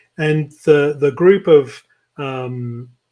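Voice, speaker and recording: A man speaks with a British accent. His voice is somewhat breathy. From London, England. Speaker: tech nonprofit CEO. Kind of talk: interview. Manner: halting, many fillers.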